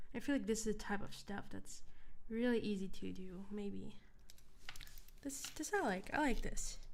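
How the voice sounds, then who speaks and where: Soft-spoken, a woman talks at a fairly slow pace with long, frequent pauses. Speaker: ASMR creator. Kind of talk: casual livestream chat.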